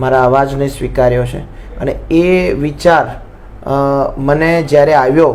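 Amid noticeable background noise and audible room echo, a man speaks at a fairly high pitch with fairly even intonation. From Visnagar, Mehsana, north Gujarat. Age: 20s. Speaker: singer. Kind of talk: interview.

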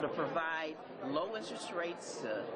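The pace is moderate as a woman speaks. Crowd noise can be heard behind her. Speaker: politician. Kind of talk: interview answer. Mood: earnest, concerned. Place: hall. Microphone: handheld.

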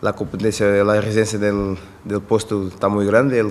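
The man's pitch is fairly low. His intonation is monotone and flat. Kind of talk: press conference answer. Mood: calm, relaxed. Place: meeting room. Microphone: podium.

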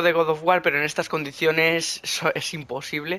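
Moving at a fairly quick pace, a man talks with a bright, sharp tone.

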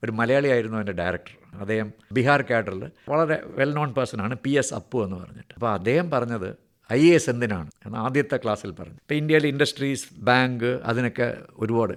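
This man has a normal speaking voice, with a medium pitch and ordinary pitch variation. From Kerala, Thiruvananthapuram. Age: 60s. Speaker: retired senior civil servant. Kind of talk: radio interview.

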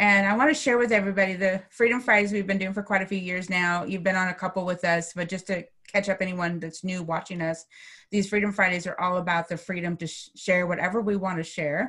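A woman speaking with fairly even intonation over a quiet background. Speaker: coach, interview host. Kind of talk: interview host introduction. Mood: warm, grateful. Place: home room. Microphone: video call.

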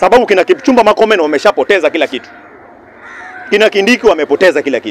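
The pitch swings very widely, and the sound is dry with no echo. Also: man. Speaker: speaker. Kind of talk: political speech in open-air forum. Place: open country. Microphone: handheld.

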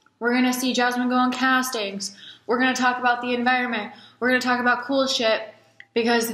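A high-pitched woman's voice at a fairly quick pace, with audible room echo. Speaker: new vlogger. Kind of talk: casual vlog chat. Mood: playful, candid. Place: home room. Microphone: webcam.

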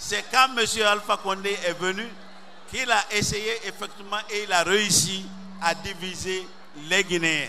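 A man speaks in a raised, projected voice. There is light background noise. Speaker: speaker. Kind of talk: campaign speech. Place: stadium. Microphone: handheld.

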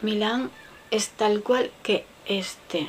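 A woman speaks at a medium pitch over light background noise. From Spain. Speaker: beauty vlogger. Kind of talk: makeup product show-and-tell; casual makeup review chat. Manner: casual, chatty; halting. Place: home room. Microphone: webcam.

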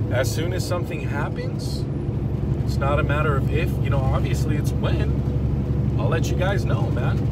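A man at a fairly slow pace, amid loud background noise, with a dry sound and no echo. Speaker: truck driver vlogger. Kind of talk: casual vlog chat. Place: car. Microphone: phone near.

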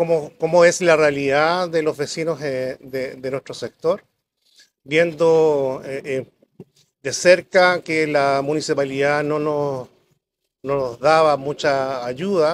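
A man at a very slow pace over light background noise. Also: fairly high pitch for a man, fairly even intonation. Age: 60s. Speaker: local council candidate; council candidate. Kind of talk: public debate. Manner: halting, many fillers. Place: garden. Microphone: lapel.

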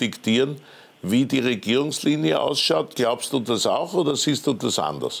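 A man with an Austrian accent talks at a moderate pace. His pitch is medium, with vocal fry. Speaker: TV news host. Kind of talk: TV interview. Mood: ironic, lightly teasing. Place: studio.

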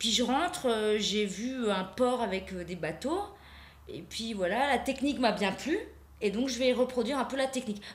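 Audible room echo surrounds a woman with a high pitch who speaks at a fairly slow pace, leaving long, frequent pauses. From Alsace. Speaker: painter; guest. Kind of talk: interview. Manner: halting. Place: studio.

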